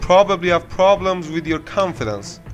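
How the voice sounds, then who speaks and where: A man with a non-native accent speaks at a moderate pace in a high voice, with music in the background. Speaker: self-help YouTuber. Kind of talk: self-help voice-over narration.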